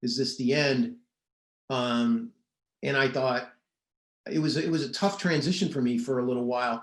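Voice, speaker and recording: A man at a moderate pace, his pitch fairly high with ordinary variation. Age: 60s. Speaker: investigative reporter. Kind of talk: interview. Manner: halting.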